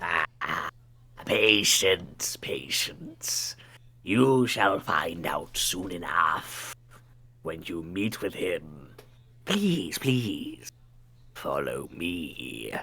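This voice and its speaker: A put-on character voice from a man, very deep and low in pitch, at a very slow pace with long, frequent pauses. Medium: actual play. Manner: polite, measured.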